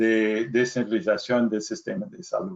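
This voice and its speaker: A man in an English accent, with lively intonation. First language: English (speaking Spanish). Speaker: health policy professor. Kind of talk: lecture. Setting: webinar. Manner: halting non-native Spanish.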